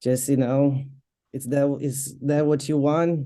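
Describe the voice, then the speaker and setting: With a Portuguese accent, a woman speaks at a fairly slow pace in a very deep, low pitch, her tone dark and mellow and her intonation monotone and flat. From Brazil. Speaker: MMA fighter and boxer. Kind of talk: interview.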